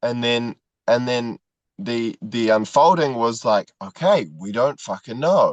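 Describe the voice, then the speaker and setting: A man speaks at a fairly slow pace and medium pitch with ordinary pitch variation, the sound dry and close with no echo against a quiet background. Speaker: men's group participant. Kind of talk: casual conversation. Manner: halting, many fillers and repetitions.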